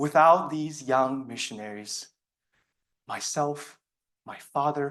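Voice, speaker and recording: A man with a Chinese accent speaks at a fairly high pitch and a fairly slow pace. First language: Mandarin Chinese. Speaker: student speech contestant. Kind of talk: speech. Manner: formal.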